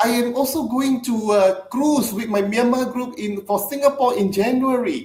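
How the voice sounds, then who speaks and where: Delivered at a moderate tempo, the speech runs on with hardly any pauses. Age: 60s. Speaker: network marketing leader. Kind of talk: podcast interview. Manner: halting, with frequent fillers and repeats.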